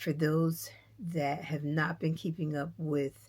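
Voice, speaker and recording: Flat, monotone intonation with vocal fry. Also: woman. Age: 60s. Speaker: knitting vlogger. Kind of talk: casual vlog chat. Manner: gentle.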